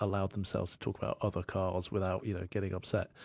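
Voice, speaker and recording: A man talks at a very fast pace with a fairly low pitch. The sound is dry and close with no echo, over a quiet background. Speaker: radio show co-host. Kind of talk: casual chat between co-hosts.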